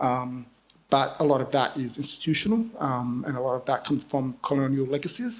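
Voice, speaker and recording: A man talks at a fairly quick pace. His voice is fairly high, with ordinary pitch variation. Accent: Australian. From Australia, Sydney. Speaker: writer and editor. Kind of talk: panel discussion. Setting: stage with audience. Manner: halting, many fillers.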